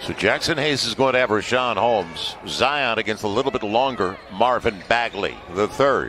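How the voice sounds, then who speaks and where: There is noticeable background noise behind the speaker. A man talks in an animated tone. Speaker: sports commentator. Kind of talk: live sports play-by-play commentary. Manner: animated, rapid-fire play-by-play; emphatic, builds excitement on big plays.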